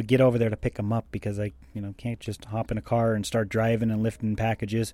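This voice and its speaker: Here a man talks very fast. His sound is dry and close, without echo. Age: 30s. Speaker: podcast host. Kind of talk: casual monologue. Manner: rambling with fillers.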